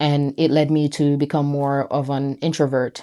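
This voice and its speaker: A woman speaks in a dark, mellow tone at a very deep, low pitch and a moderate pace. The recording is very clean, with a silent background. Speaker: brand founder. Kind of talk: personal vlog monologue. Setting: self-recorded on camera. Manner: hesitant, many fillers.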